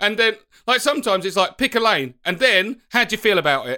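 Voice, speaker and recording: A man's raised, projected voice, bright and sharp in tone, with lively intonation at a fairly quick pace. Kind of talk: casual chat.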